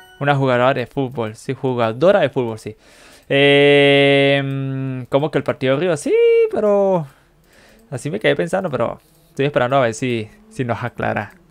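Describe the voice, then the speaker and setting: A moderate pace with ordinary pitch variation. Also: man, fairly high pitch for a man. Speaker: streamer learning English with an app. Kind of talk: live stream language practice. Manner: casual, halting with fillers.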